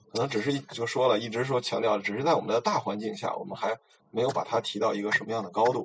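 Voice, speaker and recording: With fairly even intonation and a medium pitch, a man talks very fast while noticeable background noise plays underneath. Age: 40s. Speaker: podcast guest talking about Tibetan legends. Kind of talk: casual chat.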